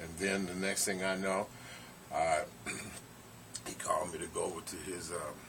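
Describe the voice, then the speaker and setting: Through audible room echo and noticeable background noise, a man talks at a moderate pace with long, frequent pauses. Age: 60s. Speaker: former bodybuilder. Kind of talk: casual interview.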